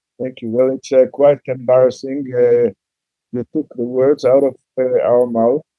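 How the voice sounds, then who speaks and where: A man with an Israeli accent speaks at a fairly slow pace. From Israel, Jerusalem. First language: Hebrew. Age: 70s. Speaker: bereaved father, peace activist. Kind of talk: testimony. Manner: halting.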